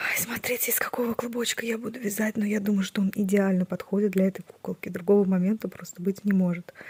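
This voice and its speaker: Quiet woman at medium pitch, monotone, flat intonation and a fairly quick pace, dry, close sound with no echo, noticeable background noise. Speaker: crochet vlogger. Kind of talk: casual vlog. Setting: at home, early morning. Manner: quiet, hushed.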